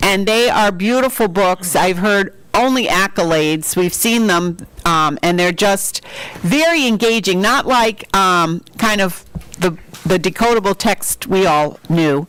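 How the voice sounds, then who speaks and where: A woman speaks at a fairly slow pace with very even loudness, medium pitch and ordinary pitch variation. Noticeable background noise runs behind her. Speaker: school literacy leader. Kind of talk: public meeting presentation. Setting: board meeting room with microphones.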